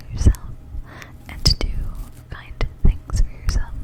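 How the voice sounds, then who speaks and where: A woman is whispering. Noticeable background noise sits behind her. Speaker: ASMR creator. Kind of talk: ASMR whisper ramble for sleep. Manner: whispered; soft-spoken, rambling, hesitant.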